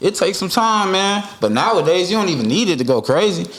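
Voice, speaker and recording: Speaking at a very fast pace, a man with a high pitch and lively intonation is heard over audible room echo. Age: 30s. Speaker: rapper. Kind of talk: casual chat.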